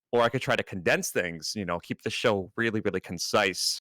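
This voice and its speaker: Against a silent background, this very clean recording captures a man talking. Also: dry, close sound with no echo. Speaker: Twitch streamer. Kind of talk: casual chat. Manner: fast when making a point; halting, many fillers.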